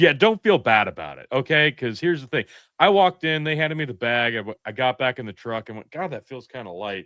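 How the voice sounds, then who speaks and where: A man with a Midwestern US accent and an animated tone, very fast in pace, with big swings in loudness and very wide pitch swings. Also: medium pitch for a man. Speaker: podcast co-host. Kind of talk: casual chat.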